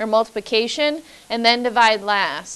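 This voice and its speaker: The pace is fairly slow. The speaker is a woman. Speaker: math teacher. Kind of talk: lecture. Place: classroom.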